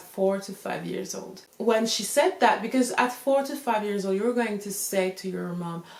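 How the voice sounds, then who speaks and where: Someone with a French accent speaks at a moderate pace with ordinary pitch variation over noticeable background noise. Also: woman. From France. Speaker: YouTuber talking about self-help figures. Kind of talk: casual talk to camera with notes. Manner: casual, talks informally with fillers.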